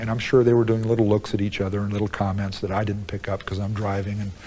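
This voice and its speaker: Talking at a very fast pace, a man speaks with a fairly low pitch. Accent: American. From United States. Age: 40s. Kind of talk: interview answer. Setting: prison.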